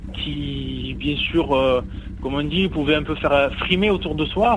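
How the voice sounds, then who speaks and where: The delivery moves at a moderate pace. Noticeable noise sits in the background. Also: man. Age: young. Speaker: motorcyclist. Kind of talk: interview.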